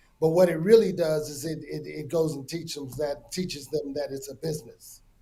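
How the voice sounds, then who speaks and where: With an American accent, a man speaks at a fairly high pitch in a dark, mellow, somewhat breathy tone with fairly even intonation. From US, Denver. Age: 50s. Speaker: music industry executive. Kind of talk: interview. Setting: video call. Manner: halting, many repetitions.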